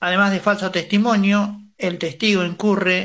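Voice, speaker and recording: The voice has a bright, sharp tone and a monotone, flat intonation, moving at a fairly slow pace. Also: man. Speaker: radio host. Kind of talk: news reading.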